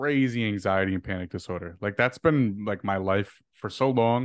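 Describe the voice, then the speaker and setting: In a quiet background, a man with a normal speaking voice talks at a moderate pace, the sound dry and close with no echo. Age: 20s. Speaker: social media creator. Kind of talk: casual chat.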